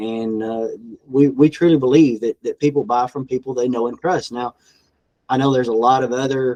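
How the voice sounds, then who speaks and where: Fairly even intonation marks this speaker with a Southern US accent, heard in a dry, close sound with no echo. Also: man. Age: 50s. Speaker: farm equipment dealership owner. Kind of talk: podcast interview answer.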